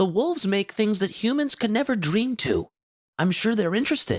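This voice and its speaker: A man does a put-on character voice at a high pitch and a moderate pace. His loudness stays very even, and the sound is dry and close with no echo. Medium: read story. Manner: earnest, bookish.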